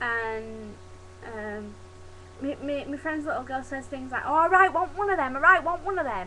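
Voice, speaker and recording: A woman with a high pitch uses a raised, projected voice and lively intonation. Noticeable background noise sits behind her. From Yorkshire, England. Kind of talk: casual talk to camera.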